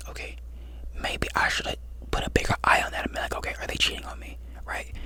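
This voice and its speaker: A man whispers at a very fast pace over noticeable background noise. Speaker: ASMR creator. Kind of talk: advice talk to camera, ASMR-style. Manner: conversational, reassuring.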